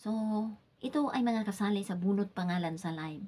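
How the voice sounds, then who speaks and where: Soft-spoken and somewhat breathy, a woman talks at a medium pitch with ordinary pitch variation. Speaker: livestreamer. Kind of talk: live stream chat, giveaway announcement. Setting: live stream at home. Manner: soft-spoken, lowered voice.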